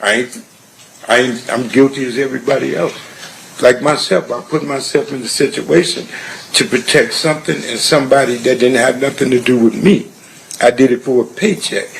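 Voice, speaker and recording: Over noticeable background noise, a man with a medium pitch talks at a fairly quick pace with lively intonation. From Compton, California. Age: 60s. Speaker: trial witness. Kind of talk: courtroom testimony. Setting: courtroom. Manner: halting, repetitive.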